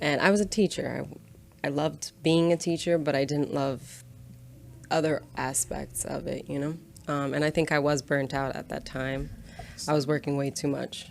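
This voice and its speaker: A woman's very deep, low voice comes with vocal fry and fairly even intonation. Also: moderate pace. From Brazil. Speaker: tattoo studio manager. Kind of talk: casual chat.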